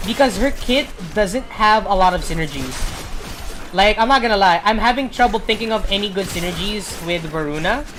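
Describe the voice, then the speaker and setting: Over noticeable background noise, a woman talks fairly quickly in a medium pitch with ordinary pitch variation. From Philippines. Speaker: video game streamer. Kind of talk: casual gameplay commentary. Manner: rambling, hesitant with fillers.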